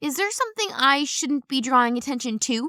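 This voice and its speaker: A woman puts on a character voice pitched high. She speaks at a fairly quick pace. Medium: read story. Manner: terse, deadpan.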